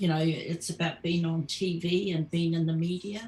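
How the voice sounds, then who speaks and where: A woman talks at a fairly slow pace. Her voice is fairly low in pitch and somewhat breathy. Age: 70s. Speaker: Māori activist veteran. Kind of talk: casual chat. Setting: live stream.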